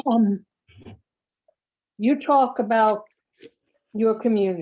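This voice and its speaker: Speaking very slowly, a woman with a fairly high pitch and a dark, mellow tone uses lively intonation. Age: 60s. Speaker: class attendee. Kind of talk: audience comment.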